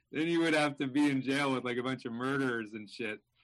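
Against a quiet background, a man speaks with an unremarkable speaking voice. His pitch sits at a medium level with ordinary variation, and his pace is fairly quick. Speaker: touring comedian. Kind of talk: casual chat. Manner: casual, jokey.

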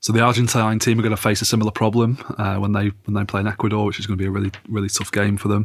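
Someone with an English accent speaks at a very fast pace, in monotone, flat intonation, with hardly any pauses. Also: man, fairly low pitch for a man. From England. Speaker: football journalist. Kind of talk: casual chat.

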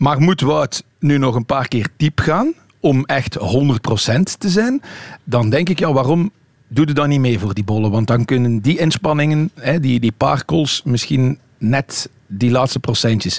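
A man's medium-pitched voice, dry and close with no echo, with lively intonation, very even loudness and a fairly slow pace. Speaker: cycling magazine editor. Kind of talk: radio panel discussion. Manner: hesitant with fillers.

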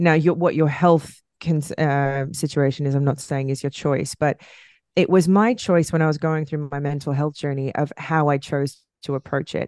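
In a dry, close recording with no echo and a quiet background, a woman with a very deep, low pitch speaks at a moderate pace with fairly even intonation. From Australia. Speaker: podcast co-host. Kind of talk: casual chat. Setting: recording at home.

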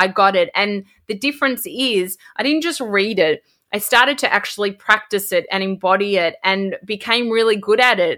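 A woman with an Australian accent, medium pitch, bright, sharp tone, ordinary pitch variation and moderate pace. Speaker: podcast host. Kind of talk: casual interview chat.

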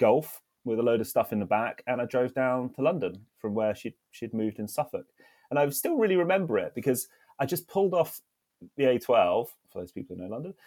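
With a southern English accent, a man talks very fast with lively intonation. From southern England, Isle of Wight. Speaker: hospitality startup founder. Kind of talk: casual interview.

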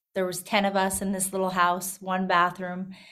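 A woman's medium-pitched voice with an Albertan accent. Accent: Canadian (Alberta). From rural Alberta, Canada. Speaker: country singer-songwriter. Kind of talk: casual interview.

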